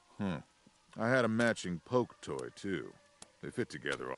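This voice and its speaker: Using a put-on, gruff character voice, a man speaks at a very deep, low pitch. His pitch swings very widely at a moderate pace. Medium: video game. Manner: gruff, contemptuous.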